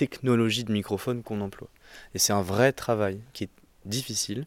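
With a normal speaking voice, a man talks at a fairly low pitch and fairly even intonation in a dry, close sound with no echo on a very clean recording with a silent background. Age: 20s. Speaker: foley artist. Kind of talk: casual interview.

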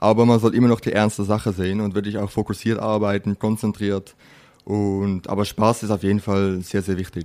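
On a very clean recording with a silent background, a man speaks at a moderate pace with a dark, mellow tone, a fairly low pitch and monotone, flat intonation. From Netherlands. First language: Dutch (speaking German). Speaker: chef. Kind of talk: interview.

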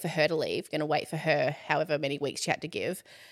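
A woman at a fairly quick pace with a fairly low pitch, on a very clean recording with a silent background. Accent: Australian. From Australia, Ballarat. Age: 30s. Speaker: content creator and entrepreneur. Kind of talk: casual chat.

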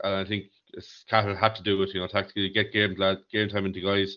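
In an Irish accent, a man talks at a fairly low pitch. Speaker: hurling pundit. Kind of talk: casual sports chat.

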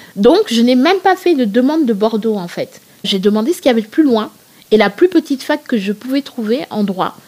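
A woman with a high voice talks at a fairly quick pace, her pitch swinging very widely. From Senegal (Thiès, Dakar). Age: 30s. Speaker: plus-size fashion blogger. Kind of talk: interview conversation. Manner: hesitant, many fillers.

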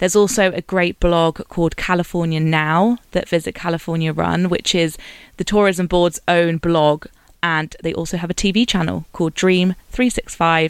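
A woman talks with a fairly low pitch and fairly even intonation. The sound is dry and close, with no echo. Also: moderate pace. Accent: British. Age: 30. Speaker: podcast host. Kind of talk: scripted narration.

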